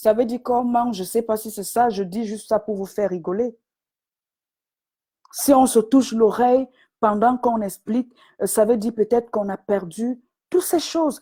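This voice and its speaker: A woman's somewhat breathy, dark and mellow voice, fairly high in pitch with ordinary pitch variation, at a moderate pace with long, frequent pauses. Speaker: business coach. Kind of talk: live stream talk. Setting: online live video.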